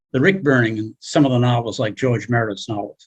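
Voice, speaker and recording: A somewhat breathy man's voice. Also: dry, close sound with no echo. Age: 70s. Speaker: class participant. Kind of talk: class discussion.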